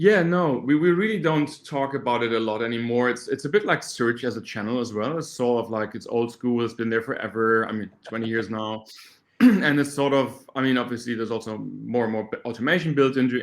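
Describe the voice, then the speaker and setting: Talking at a fairly quick pace with hardly any pauses, a man speaks with a German accent. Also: medium pitch for a man, ordinary pitch variation. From Germany. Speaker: startup co-founder, search marketing expert. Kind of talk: podcast interview. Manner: halting, with repeated words.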